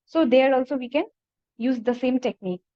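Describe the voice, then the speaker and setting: A woman at a fairly quick pace, her intonation fairly even. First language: Nepali. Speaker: PhD researcher presenting a paper. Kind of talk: conference presentation. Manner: halting.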